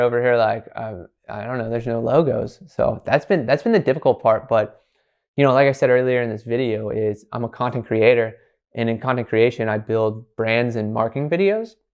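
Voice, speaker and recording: Fairly quick, fairly even speech from a man at medium pitch. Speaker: astrology content creator. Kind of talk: casual monologue. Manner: fast; loud, projected.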